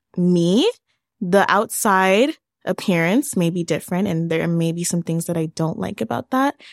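Heard dry and close with no echo on a very clean recording with a silent background, a woman with a plain, everyday voice at a medium pitch talks at a fairly slow pace with lively intonation. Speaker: young survivor sharing her story. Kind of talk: interview testimony.

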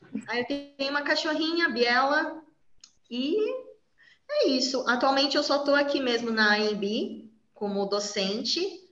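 In a room with audible echo, a woman with a high voice and lively intonation talks at a fairly slow pace, leaving long, frequent pauses. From São Paulo, Brazil. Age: 30s. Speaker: university biology professor. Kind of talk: interview, casual chat.

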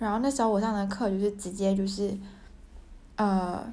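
A woman's medium-pitched, dark, mellow voice in a monotone, flat delivery at a moderate pace, with audible room echo. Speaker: podcaster, graduate student. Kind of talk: casual monologue. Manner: halting, many fillers.

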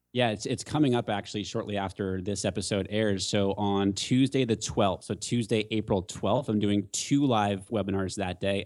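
An ordinary speaking voice from a man with an American accent, fairly low in pitch at a moderate pace, in a very clean recording with a silent background. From San Diego area, California. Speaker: Facebook ads expert. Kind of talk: casual interview Q and A.

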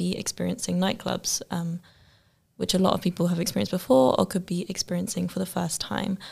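A woman with an English accent at a fairly quick pace. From UK. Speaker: student podcast host. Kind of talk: interview.

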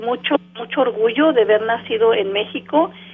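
There is noticeable background noise behind this woman. Her high voice shows ordinary pitch variation. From Mexico City, moved to US at 14. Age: 40s. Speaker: city mayor. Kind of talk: radio interview.

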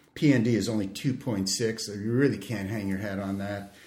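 Here a man talks at a fairly slow pace. His pitch is fairly low. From Canada. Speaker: emergency physician and researcher. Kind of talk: expert interview on medical education podcast. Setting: studio.

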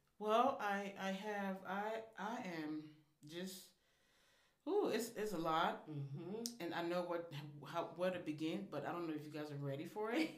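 Audible room echo carries a woman's fairly low voice in an American accent. She talks at a moderate pace with long, frequent pauses. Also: ordinary pitch variation. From Liberia, West Africa; later Missouri. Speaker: restaurant owner. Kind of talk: casual interview chat.

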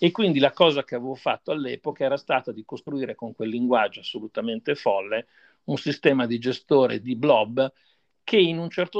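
This man has a normal speaking voice with a medium pitch and ordinary pitch variation, at a moderate pace. The sound is dry and close with no echo, over a quiet background. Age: 60s. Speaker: software developer and company founder. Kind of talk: interview.

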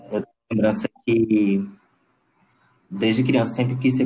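A man speaks with a Pernambuco accent at a medium pitch. His pace is moderate and his intonation fairly even. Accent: Pernambuco Brazilian Portuguese. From Brazil, Paulista near Recife, Pernambuco. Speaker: visual artist. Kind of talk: interview. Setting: audio call. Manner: halting.

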